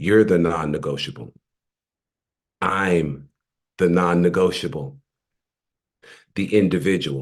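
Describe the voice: This man uses a put-on character voice, hoarse and very deep in pitch. He talks at a fairly slow pace.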